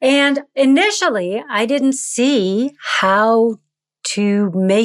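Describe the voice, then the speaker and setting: A woman with an American accent, fairly high-pitched, with lively intonation. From United States. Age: 50s. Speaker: actor and acting coach. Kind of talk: podcast interview.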